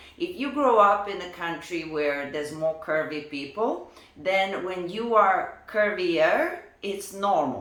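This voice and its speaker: A woman with a Lithuanian accent speaks at a very slow pace and medium pitch, her intonation lively over noticeable background noise. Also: big swings in loudness. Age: 30s. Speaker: professional dancer. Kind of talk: personal vlog. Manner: casual, conversational.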